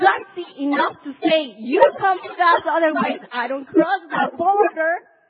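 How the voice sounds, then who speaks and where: Her pitch extremely high, a woman speaks at a very slow pace with lively intonation. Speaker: pastor. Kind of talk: sermon. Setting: church.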